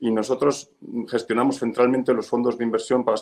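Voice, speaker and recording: Fairly even intonation at a very fast pace. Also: man. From Spain. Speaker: real estate fund manager. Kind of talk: webinar presentation. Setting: video webinar from his office.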